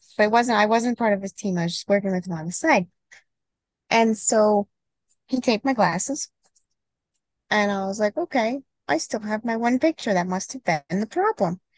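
A woman with a fairly high, somewhat breathy voice moves at a moderate pace, leaving long, frequent pauses. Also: lively intonation, dry, close sound with no echo. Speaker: certified skeet shooting instructor and podcast co-host. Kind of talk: casual instructional podcast chat.

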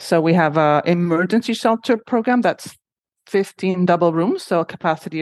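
A woman speaks with a Spanish accent in a fairly low pitch. The sound is dry and close, with no echo. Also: quiet background. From Honduras. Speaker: shelter executive director. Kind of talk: interview.

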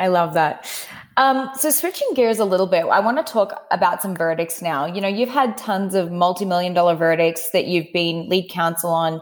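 The speaker has an Australian accent and a moderate pace. Their intonation is lively. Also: woman, medium pitch for a woman. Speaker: podcast host. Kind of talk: interview chat.

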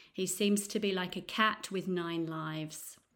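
Speaking with an East Midlands accent, a woman uses medium pitch and fairly even intonation. Her fairly slow delivery comes on a very clean recording with a silent background. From Nottingham, England. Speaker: English teacher and podcast host. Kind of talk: news reading for English learners. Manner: clear, measured pace.

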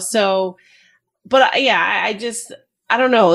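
Here a woman has a plain, everyday voice, speaking at a moderate pace with ordinary pitch variation. The recording is very clean, with a silent background. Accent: American. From New Jersey, US. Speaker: retired Army veteran and mental health advocate. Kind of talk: interview.

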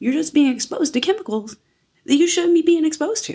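This woman's voice has a dark, mellow tone. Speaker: nutrition coach podcast host. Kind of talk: solo podcast monologue. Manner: casual, chatty.

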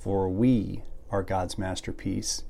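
Very slow speech from a man, with audible room echo. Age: 50s. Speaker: ministry podcast host. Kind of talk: devotional monologue. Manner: reflective.

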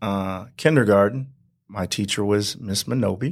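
The recording is very clean, with a silent background. A man with an American accent speaks with ordinary pitch variation. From Southern California, Banning. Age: 40s. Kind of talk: interview. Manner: halting, with filler words.

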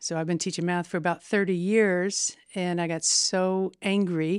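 A woman's fairly low voice with a Midwestern American accent and fairly even intonation, on a very clean recording with a silent background. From Indiana, Terre Haute. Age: 50s. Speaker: state legislator and math teacher. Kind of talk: casual interview.

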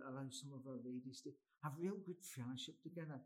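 The voice is somewhat breathy, with ordinary pitch variation. It moves at a very fast pace. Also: man. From Scotland, Glasgow. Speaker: Presbyterian minister and chaplain. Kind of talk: casual interview. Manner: repetitive false starts.

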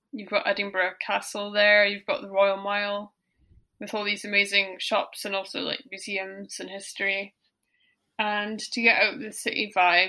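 Over a very clean recording with a silent background, a woman speaks in a bright, sharp tone. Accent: Scottish. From Scotland. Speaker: guest interviewee. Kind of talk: casual chat.

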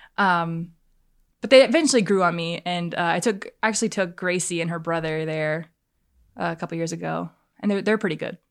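A woman with a plain, everyday voice speaks at a fairly quick pace, her pitch fairly low and its variation ordinary. The recording is very clean, with a silent background. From South Carolina, US South. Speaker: college student and worship leader. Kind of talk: casual interview.

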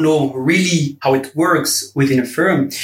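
With noticeable background noise behind him, a man talks in fairly even intonation. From Belgium. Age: 20s. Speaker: law graduate, summer intern. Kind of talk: interview.

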